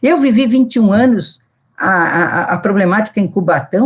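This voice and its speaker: Her voice is somewhat breathy. The woman speaks at a medium pitch. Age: 70s. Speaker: public health physician. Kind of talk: recorded talk. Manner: halting.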